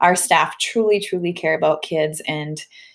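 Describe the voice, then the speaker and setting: Her voice sits fairly low for a woman. She speaks with a Minnesotan accent. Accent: Minnesota. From US Midwest, Minnesota. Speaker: school principal. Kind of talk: recorded presentation to parents. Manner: fast; animated.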